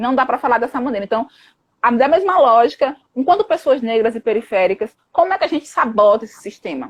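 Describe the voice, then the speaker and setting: Very wide pitch swings run through a woman's high-pitched voice. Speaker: psychologist and anti-racism activist. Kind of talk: live stream discussion. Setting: online live stream. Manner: fast; animated.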